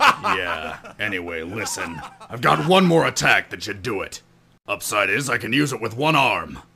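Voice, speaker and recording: A man in a put-on character voice, medium in pitch, at a moderate pace. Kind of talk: comic parody voice acting.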